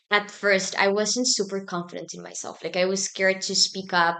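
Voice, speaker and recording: The pace is fairly quick, with a Spanish accent. The background stays quiet. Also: woman. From Argentina, Buenos Aires. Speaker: student organization president. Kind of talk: podcast interview.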